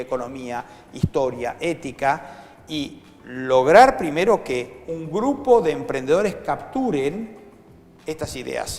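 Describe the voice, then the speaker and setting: A man's voice with lively intonation. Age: 60s. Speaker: foundation director and educator. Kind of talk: interview. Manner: animated.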